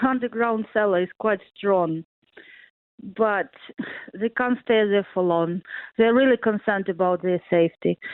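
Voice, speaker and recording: A woman speaks with a Ukrainian accent. Her pace is fairly slow. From Ukraine, central (Poltava region). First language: Ukrainian or Russian. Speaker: interviewee, family in war zone. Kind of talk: radio interview. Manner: halting, many hesitations.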